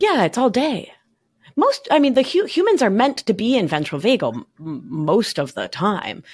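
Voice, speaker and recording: A woman with an American accent speaks at a fairly high pitch and a moderate pace, her pitch swinging very widely, with vocal fry. The recording is very clean with a silent background. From Argentina (Buenos Aires), raised partly in New York. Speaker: somatic life coach and nurse practitioner. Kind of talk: podcast interview.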